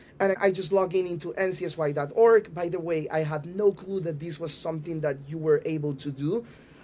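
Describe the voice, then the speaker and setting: A man with a Panamanian accent, high pitch, fairly quick pace and fairly even intonation. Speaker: youth organization rabbi. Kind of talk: podcast interview. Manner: halting, with fillers and repeats.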